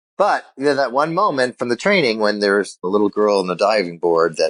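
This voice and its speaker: Here a man with an American accent has an ordinary speaking voice at a fairly low pitch. He talks at a fairly quick pace, and the sound is dry and close with no echo. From Illinois. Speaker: sales keynote speaker. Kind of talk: interview.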